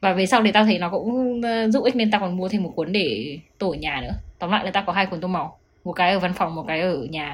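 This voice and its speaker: Somewhat breathy, a woman talks at a fairly quick pace. Her pitch varies in an ordinary way. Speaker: podcast co-host. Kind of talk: casual chat.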